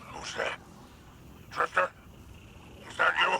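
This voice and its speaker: A put-on character voice, raspy and extremely high-pitched, comes over clear background noise. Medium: video game. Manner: haughty, transactional.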